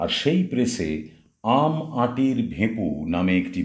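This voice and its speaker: There is vocal fry in this man's voice. His pitch rises and falls very widely. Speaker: narrator. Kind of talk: radio storytelling narration.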